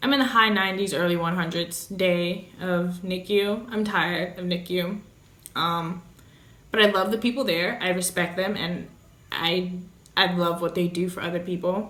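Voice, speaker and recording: Audible room echo around a woman's medium-pitched speech. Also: moderate pace. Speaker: vlogger, mother of premature baby. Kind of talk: casual storytelling vlog. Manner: loud; animated.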